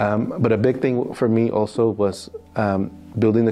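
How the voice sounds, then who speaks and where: With an American accent and fairly even intonation, a man speaks over noticeable background noise. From US, New York City. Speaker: financial crime compliance specialist. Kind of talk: interview. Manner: hesitant, many fillers.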